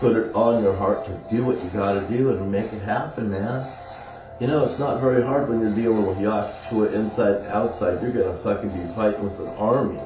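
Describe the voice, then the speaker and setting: Audible room echo, with music in the background. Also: man, fairly low pitch for a man, ordinary pitch variation, fairly quick pace. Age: 60s. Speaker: video blogger. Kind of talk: casual monologue. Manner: animated.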